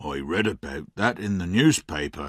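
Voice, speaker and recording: Using a put-on character voice, a man talks at a moderate pace in a very deep, low, raspy pitch with lively intonation, recorded dry and close with no echo. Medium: read story.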